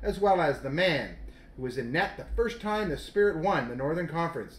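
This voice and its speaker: Noticeable background noise runs beneath a man talking at a fairly quick pace with lively intonation. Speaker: radio host of hockey show. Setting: radio studio. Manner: upbeat, polished, announcer-like.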